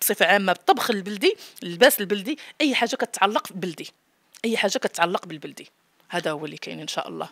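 The speech comes at a very fast pace with lively intonation and big swings in loudness. The sound is dry with no echo, over a quiet background. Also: woman, medium pitch for a woman. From Morocco. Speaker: home cook and YouTuber; YouTuber. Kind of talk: interview. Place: home room. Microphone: handheld.

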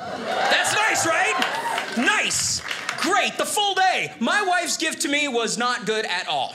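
Through loud background noise, a man speaks at a very slow pace. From Ohio. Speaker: comedian. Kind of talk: stand-up. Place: stage. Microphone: handheld.

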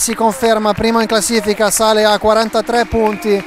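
Against noticeable background noise, a man talks at a moderate pace with a high pitch. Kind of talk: live sports commentary on an inline hockey match, highlights.

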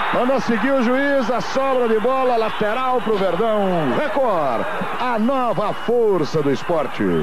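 A man's high-pitched voice at a fairly slow pace, with ordinary pitch variation, very even loudness and noticeable background noise. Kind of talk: live commentary.

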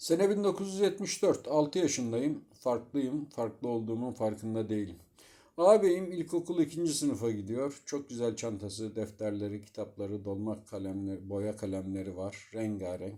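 In a dark, mellow tone at a medium pitch, a man speaks at a fairly slow pace with very wide pitch swings and hardly any pauses. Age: 50s. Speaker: storyteller. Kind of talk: personal memoir narration.

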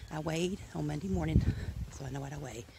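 A woman's voice over noticeable background noise. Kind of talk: casual vlog while walking. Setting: outdoors. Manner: breathing hard on a hill.

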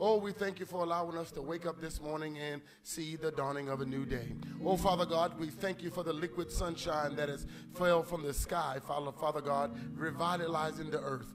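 A man at a fairly quick pace with fairly even intonation, against noticeable background noise. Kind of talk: call to worship and prayer. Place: church.

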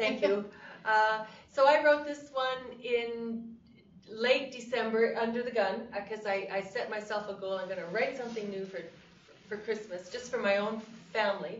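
A woman's fairly high voice at a moderate pace, fairly even in intonation, with big swings in loudness and noticeable background noise. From Canada. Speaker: cowboy poet. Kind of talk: interview answer.

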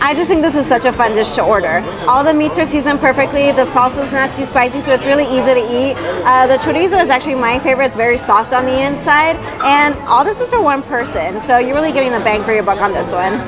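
Clear music plays in the background. A woman speaks at a very fast pace. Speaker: food vlogger. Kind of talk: casual food review vlog. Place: bar.

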